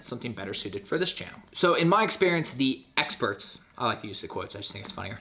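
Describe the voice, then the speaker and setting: A man speaks very fast with lively intonation while noticeable background noise carries on. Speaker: YouTuber giving channel-growth advice. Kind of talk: casual talking-head vlog tutorial. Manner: loud.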